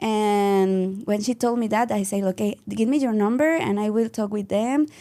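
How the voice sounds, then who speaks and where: A woman with a Mexican accent speaks at a fairly slow pace in a dark, mellow tone with fairly even intonation, captured in a very clean recording with a silent background. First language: Spanish. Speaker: dance and yoga teacher. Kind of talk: interview. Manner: halting.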